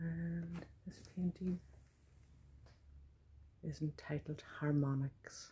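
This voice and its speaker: A woman's very deep, low, somewhat breathy voice with a dark, mellow tone, very wide pitch swings, a very slow pace and long, frequent pauses. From Donegal, Ireland; Ireland. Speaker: visual artist and poet; poet. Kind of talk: casual studio tour talk to camera. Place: studio. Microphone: phone near.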